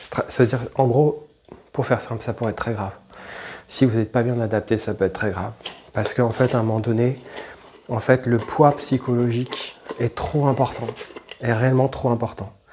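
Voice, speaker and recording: A man speaks with fairly even intonation and a somewhat breathy voice. He leaves long, frequent pauses. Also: medium pitch for a man, moderate pace. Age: 40s. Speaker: YouTuber. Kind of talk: personal testimony. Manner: halting, many fillers and repetitions.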